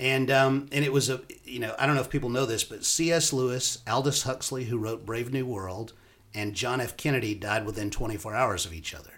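A man with an ordinary speaking voice talks at a medium pitch and a fairly quick pace, with ordinary pitch variation. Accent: American. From US South (Alabama, Florida panhandle). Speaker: professor and university dean. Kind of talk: podcast interview.

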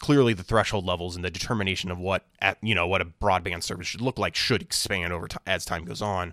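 In an American accent, a bright, sharp voice rushes along at a very fast pace with hardly any pauses and ordinary pitch variation, in dry, close sound with no echo. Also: man, very deep, low pitch for a man, very clean recording, silent background. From Illinois, US Midwest. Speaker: policy analyst. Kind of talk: casual interview. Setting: at a conference venue.

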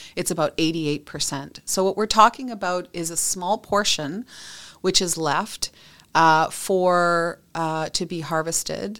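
A woman with a Western Canadian accent speaks at a fairly slow pace in a fairly low pitch. Her pitch varies in an ordinary way. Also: very clean recording, silent background. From British Columbia, Canada. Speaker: industry association executive. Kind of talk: interview.

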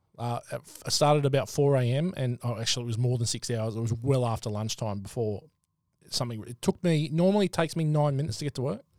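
A man at a medium pitch with an Australian accent, ordinary pitch variation and a very fast pace. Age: 40s. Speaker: podcast host. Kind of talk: casual chat.

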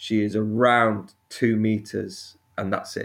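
A man with a Sheffield accent. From northern England, Sheffield. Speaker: snake keeper and YouTuber. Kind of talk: podcast interview.

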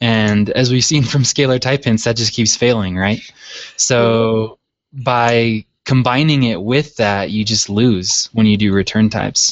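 An ordinary speaking voice from a man with an American accent, medium in pitch, fairly slow, with fairly even intonation and very even loudness. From Utah, US. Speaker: PHP website developer. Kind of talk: casual technical discussion.

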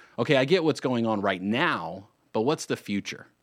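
At a moderate pace, a man with a medium pitch speaks in a very clean recording with a silent background. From North Carolina, Lake Norman area. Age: 30s. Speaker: radio host and real estate attorney. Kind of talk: radio talk show monologue. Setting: radio studio. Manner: animated.

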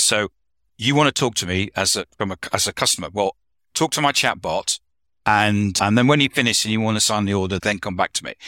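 A man with a British accent, a bright, sharp tone, a fairly quick pace, and a dry, close sound with no echo. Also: very clean recording, silent background. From UK. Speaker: consultant and author. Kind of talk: casual roundtable discussion.

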